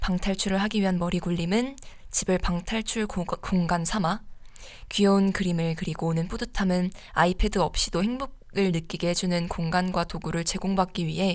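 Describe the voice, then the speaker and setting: A woman speaks at a medium pitch and a moderate pace, with a plain, everyday voice. The recording is very clean, with a silent background. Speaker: student radio DJ. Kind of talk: radio show, advice and reading listener stories.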